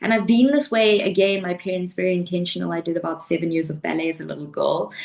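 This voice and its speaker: Over noticeable background noise, a woman talks very fast. Her voice is fairly low, with ordinary pitch variation. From South Africa. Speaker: life coach and pole fitness athlete. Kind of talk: interview conversation.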